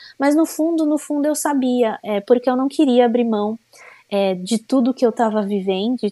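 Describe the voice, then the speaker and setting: A dark, mellow tone with lively intonation, in a dry, close sound with no echo. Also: woman. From Brazil, São Paulo. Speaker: former bank clerk, homemaker. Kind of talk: testimony.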